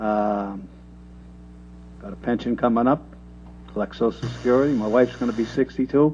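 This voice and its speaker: A man talks at a moderate pace, leaving long pauses often. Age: 60s. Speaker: selectman candidate. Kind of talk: candidate forum answer.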